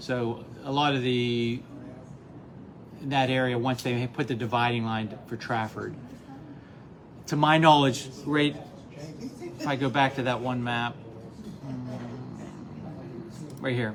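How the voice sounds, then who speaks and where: A man with an American accent speaks at a very slow pace with long, frequent pauses, amid audible room echo and noticeable background noise. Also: medium pitch for a man, fairly even intonation. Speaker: local historian presenter. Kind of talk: live presentation to audience.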